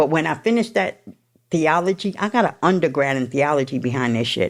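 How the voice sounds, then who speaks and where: A loud woman's voice with a New York accent, very deep and low in pitch, at a fairly quick pace with very wide pitch swings. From New York City. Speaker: person in addiction recovery. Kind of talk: testimony.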